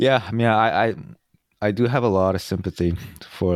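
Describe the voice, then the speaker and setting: The recording is very clean, with a silent background. A man talks with ordinary pitch variation. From South Korea, moved to US at about nine. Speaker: podcast co-host. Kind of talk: casual chat.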